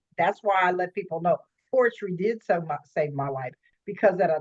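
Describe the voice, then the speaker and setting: A woman with an unremarkable speaking voice talks at a fairly quick pace with lively intonation. The sound is dry and close, with no echo. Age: 50s. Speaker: life coach. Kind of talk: interview.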